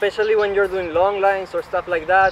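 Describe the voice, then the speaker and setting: A man's high-pitched voice with a Spanish accent amid noticeable background noise. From Peru. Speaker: slackline athlete and instructor. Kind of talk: tutorial.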